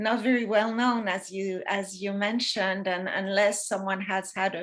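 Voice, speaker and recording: A woman talks with a French accent at a medium pitch. Her intonation is monotone and flat. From France. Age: 60s. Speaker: retired massage therapist. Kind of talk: interview. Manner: hesitant with fillers.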